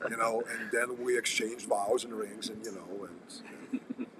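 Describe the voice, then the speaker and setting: The man speaks very slowly as noticeable background noise carries on behind him. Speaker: firearms and combat instructor. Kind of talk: casual livestream chat. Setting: coffee house.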